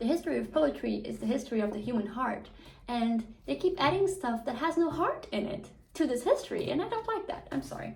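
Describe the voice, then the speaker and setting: Fairly quick speech, with noticeable background noise throughout. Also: woman. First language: not English (English is third language). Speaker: book vlogger. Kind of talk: casual monologue vlog. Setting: at home, hot room without fan. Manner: animated, rambling with fillers.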